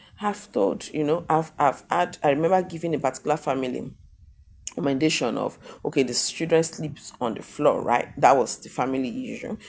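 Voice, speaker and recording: This loud woman has a very deep, low pitch and lively intonation. She speaks at a fairly quick pace. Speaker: sex therapist. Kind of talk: talking-head vlog monologue. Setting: hotel room.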